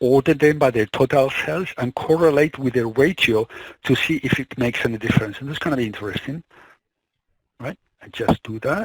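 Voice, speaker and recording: At a fairly quick pace, a man speaks in a somewhat breathy voice of medium pitch. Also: ordinary pitch variation, dry, close sound with no echo. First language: Spanish. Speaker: tech tutorial creator. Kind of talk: screen-recorded tutorial. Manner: halting, with frequent restarts.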